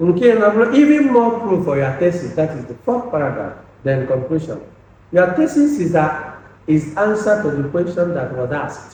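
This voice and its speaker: With noticeable background noise and audible room echo, a high-pitched man with a Nigerian accent talks at a moderate pace, his pitch swinging very widely. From Nigeria, Anambra State (Igbo). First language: Igbo. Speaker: lecturer. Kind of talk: lecture. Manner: halting, repeats words.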